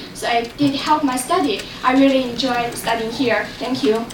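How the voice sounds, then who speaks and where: A woman's raised, projected, high voice with a Chinese accent and fairly even intonation, at a fairly slow pace, amid audible room echo and noticeable background noise. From China. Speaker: international student. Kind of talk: board meeting testimony.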